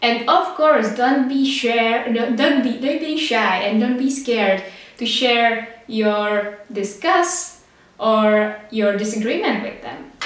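With a Czech accent, a woman speaks at a very slow pace and a fairly high pitch amid noticeable background noise and audible room echo. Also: ordinary pitch variation. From Czech Republic. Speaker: podcast host. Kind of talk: casual monologue.

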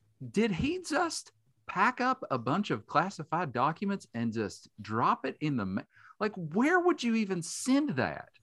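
A man with an Appalachian accent at a fairly slow pace, in a very clean recording with a silent background and a dry, close sound with no echo. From West Virginia, Boone County. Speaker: journalist and multimedia specialist. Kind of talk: casual chat.

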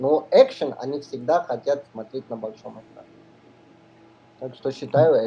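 A man's somewhat breathy, medium-pitched voice with a dark, mellow tone, fairly even intonation, a fairly slow pace and long, frequent pauses. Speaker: neurosurgeon and film distributor. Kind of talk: radio interview. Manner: halting, many fillers.

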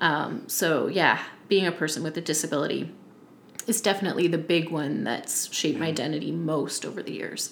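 Speaking at a fairly quick pace, a woman with a very deep, low pitch, vocal fry and ordinary pitch variation is heard with audible room echo. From Nova Scotia, Yarmouth County. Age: 30s. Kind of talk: casual interview. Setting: in person on a couch.

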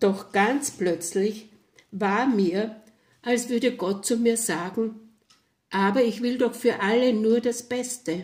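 Speaking at a very slow pace with long, frequent pauses, a woman uses a calm tone. Her pitch is fairly high with ordinary variation. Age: 70s. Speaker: storyteller. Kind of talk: testimony. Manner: calm, reflective.

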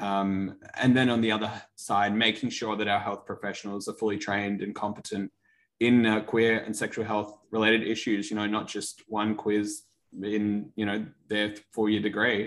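The speaker has an Australian accent and a moderate pace. The intonation is monotone and flat. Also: man, fairly low pitch for a man. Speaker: medical student. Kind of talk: interview.

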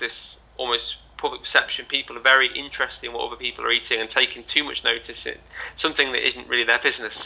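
A man with a northwest English accent speaks at a very fast pace. His voice is fairly high-pitched and his intonation fairly even. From northwest England. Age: 20s. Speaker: adventurer and motivational speaker. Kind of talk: casual interview chat. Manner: hesitant, with stammer and repetitions.

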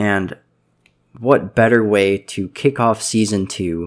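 A man with a fairly low voice and fairly even intonation is heard on a very clean recording with a silent background. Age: 20s. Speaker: podcast host. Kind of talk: casual monologue. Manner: hesitant, filler-heavy.

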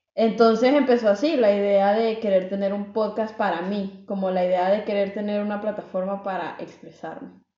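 A woman's normal speaking voice, fairly even in intonation, with hardly any pauses. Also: medium pitch for a woman, moderate pace. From El Salvador. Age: 20s. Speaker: podcast co-host. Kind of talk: casual chat.

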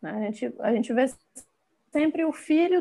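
Her intonation lively, a woman speaks. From Bahia, Brazil. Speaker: fashion designer and visual artist. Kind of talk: casual interview.

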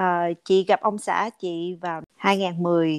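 A woman's voice sounds dry and close with no echo against a quiet background. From Vietnam. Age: 40s. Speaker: podcast guest. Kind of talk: casual interview chat.

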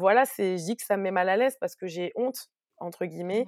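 An ordinary speaking voice moves at a fairly quick pace with ordinary pitch variation, captured in a dry, close sound with no echo on a very clean recording with a silent background. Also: woman. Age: 30s. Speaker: press officer and entrepreneur. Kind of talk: casual interview.

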